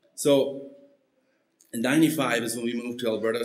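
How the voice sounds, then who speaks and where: A man's voice carries audible room echo. His intonation stays fairly even. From Mexico, Mennonite community. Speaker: missionary; preacher giving testimony. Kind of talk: testimony. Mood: earnest, personal. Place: church. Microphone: podium.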